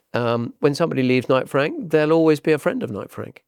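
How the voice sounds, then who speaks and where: Intonation is lively, and the words come out at a fairly quick clip. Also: man. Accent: southern English. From southern England, Hampshire. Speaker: property agent. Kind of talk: podcast interview. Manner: repeats words, hesitant starts.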